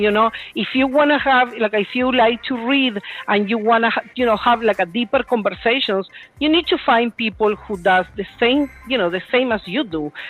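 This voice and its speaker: Music plays in the background as a woman speaks with a Spanish accent. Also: fairly high pitch for a woman, ordinary pitch variation, moderate pace. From Puerto Rico. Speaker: real estate agent. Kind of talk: panel Q&A.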